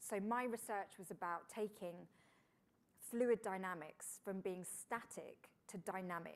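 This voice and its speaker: A woman with a British accent, medium pitch and fairly even intonation. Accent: British, host first took it for Florida. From England. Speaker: engineer and TV presenter. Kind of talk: fireside chat interview. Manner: conversational with frequent fillers.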